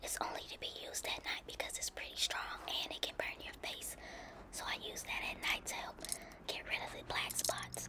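At a moderate pace, a woman delivers her words in a whisper. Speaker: lifestyle vlogger. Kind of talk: ASMR bedtime routine talk. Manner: whispery, soft-spoken.

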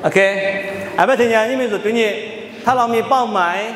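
A man with a high voice speaks in a room with audible echo and light background noise. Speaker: Bible teacher. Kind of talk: Bible study teaching. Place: hall. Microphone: handheld.

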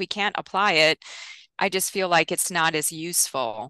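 A woman with a bright, sharp tone speaks at a moderate pace, recorded dry with no echo in a quiet background. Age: 50s. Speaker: nutrition scientist; guest. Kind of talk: interview. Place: home room. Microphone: headset.

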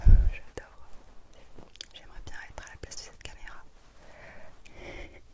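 Whispering at a moderate pace, a woman leaves long, frequent pauses, and her loudness swings widely. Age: 20s. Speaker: ASMR creator. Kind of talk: ASMR personal attention. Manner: whispered, soft-spoken. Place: home room.

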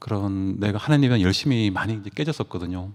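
This man has a dark, mellow tone and ordinary pitch variation. He talks at a fairly quick pace. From Gangwon Province, South Korea (Taebaek). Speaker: church member giving testimony. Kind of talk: testimony. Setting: church meeting. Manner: halting, many fillers.

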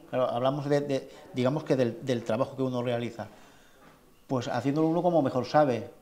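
Speaking at a fairly quick pace with fairly even intonation, the man leaves long, frequent pauses. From Spain. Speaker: festival club president and artist; interviewee. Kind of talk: interview. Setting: falla clubhouse. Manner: halting. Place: hall. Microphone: lapel.

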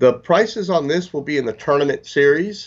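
Here a man talks at a moderate pace with an American accent. His pitch varies in an ordinary way over a quiet background. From Florida. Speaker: fishing lure company representative; guest. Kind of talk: product interview. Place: office. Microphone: video call.

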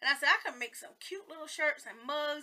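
In a Southern US accent, a woman uses a raised, projected voice with a bright, sharp tone. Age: 40s. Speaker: beauty vlogger. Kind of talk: casual makeup tutorial vlog. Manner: rambling, chatty.

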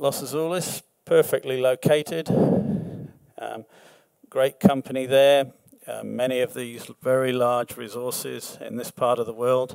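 Against a quiet background with dry sound and no echo, a man uses a plain, everyday voice at medium pitch, with fairly even intonation and a fairly slow pace. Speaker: mining project executive; presenter. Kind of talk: presentation. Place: hall. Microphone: podium.

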